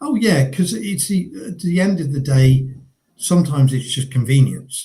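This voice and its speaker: With a southern English accent, a man talks at a moderate pace in a fairly high pitch, his dark, mellow tone somewhat breathy and his intonation lively. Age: 60s. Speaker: business owner, coaching client. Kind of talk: interview. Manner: hesitant, many fillers.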